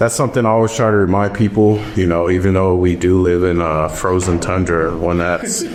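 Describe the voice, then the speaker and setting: A man with an American accent speaks fairly quickly in a very deep, low pitch, with hardly any pauses, very even loudness and fairly even intonation. Noticeable background noise and audible room echo are present. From California. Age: 30s. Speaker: wildland firefighter. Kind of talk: casual interview.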